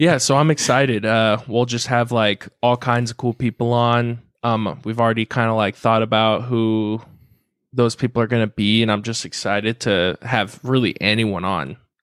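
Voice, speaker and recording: With an American accent, a man speaks at a moderate pace in a medium pitch with fairly even intonation, recorded very cleanly against a silent background with a dry, close sound and no echo. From Southern California (Carlsbad). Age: 20s. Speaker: podcast co-host. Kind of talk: casual chat.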